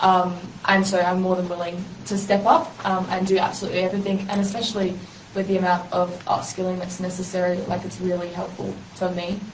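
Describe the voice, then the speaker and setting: Someone with an Australian accent talks at a fairly quick pace in monotone, flat intonation, with audible room echo and noticeable background noise. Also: woman, medium pitch for a woman. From South Australia, Adelaide. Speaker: university language student and community radio worker. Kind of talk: interview conversation.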